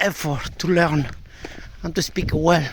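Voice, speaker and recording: A man with a strong Andalusian accent speaks at a moderate pace. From Andalusia, Spain. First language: Spanish. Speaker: language learner sharing comments. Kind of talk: casual spoken monologue. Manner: halting, with many fillers and repetitions.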